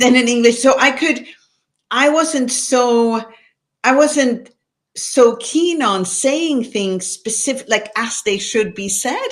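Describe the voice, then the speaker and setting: Speaking very slowly with a non-native accent, a woman uses a fairly high pitch and lively intonation. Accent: non-native English speaker. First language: Swedish. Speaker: author. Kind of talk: online panel conversation.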